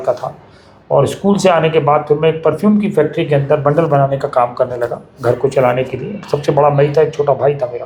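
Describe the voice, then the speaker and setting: A man's fairly high voice delivers the words at a moderate speed. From Delhi, India. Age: 60s. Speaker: bird conservationist, nest maker. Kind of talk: interview. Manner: hesitant fillers.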